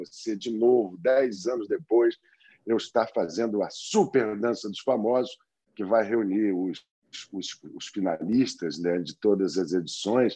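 A man's dark, mellow voice at a fairly slow pace against a quiet background. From Brazil. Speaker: actor and dancer. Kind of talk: interview.

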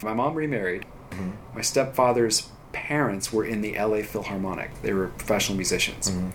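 A voice with an American accent moves at a fairly quick pace with lively intonation. Audible room echo and noticeable background noise fill the recording. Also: man. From Redondo Beach, Southern California. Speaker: music producer. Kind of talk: casual chat.

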